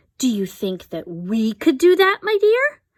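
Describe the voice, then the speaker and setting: A woman uses a put-on character voice at a moderate pace. Her pitch swings very widely. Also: high pitch for a woman. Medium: read story.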